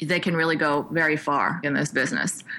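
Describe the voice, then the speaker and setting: Talking at a fairly quick pace, a woman with an American accent has a very deep, low pitch and a bright, sharp tone. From New York. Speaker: filmmaker. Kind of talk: interview.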